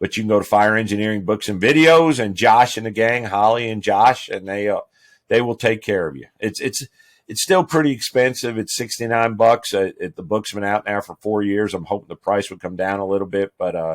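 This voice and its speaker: The background is silent in a very clean recording. A plain, everyday voice goes at a fairly quick pace, its pitch varying in an ordinary way. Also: man, fairly low pitch for a man. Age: 60s. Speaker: fire chief. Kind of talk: casual interview.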